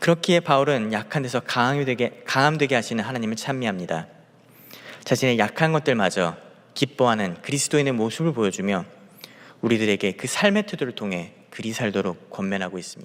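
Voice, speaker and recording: Lively intonation from a man talking at a fairly quick pace. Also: medium pitch for a man. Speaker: junior pastor. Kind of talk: sermon. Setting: church, early morning prayer service. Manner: halting, with self-corrections and repeated words.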